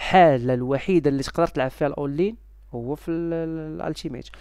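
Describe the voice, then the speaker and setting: A man with a Moroccan accent speaks in a dark, mellow tone, the sound dry with no echo against a quiet background. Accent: Moroccan Darija. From Morocco. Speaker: YouTuber selling game subscriptions. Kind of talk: casual vlog talk to viewers. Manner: halting, many fillers. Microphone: headset.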